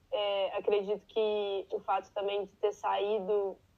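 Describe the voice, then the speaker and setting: The speaker is a woman with a medium pitch. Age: 20s. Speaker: barista, immigrant. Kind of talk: interview.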